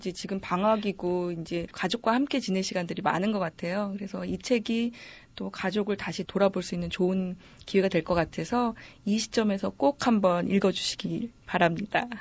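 A woman's somewhat breathy, medium-pitched voice with ordinary pitch variation at a moderate pace. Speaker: book editor. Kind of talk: book introduction.

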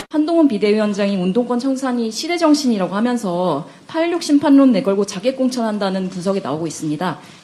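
A woman's fairly high voice with very wide pitch swings, fairly quick and with hardly any pauses, over noticeable background noise. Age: younger than the host. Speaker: radio writer and co-presenter. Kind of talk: radio news presenting.

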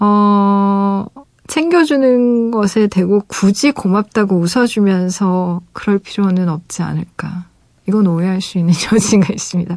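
A woman with a warm tone speaks at a very slow pace, her medium pitch moving with ordinary variation. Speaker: radio DJ and novelist. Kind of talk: late-night radio chat reading listener letters. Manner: warm, with frequent hesitations.

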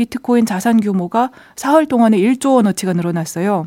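At a moderate pace, the speaker uses ordinary pitch variation and a dark, mellow tone. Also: woman. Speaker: newspaper reporter. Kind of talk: radio economics news talk.

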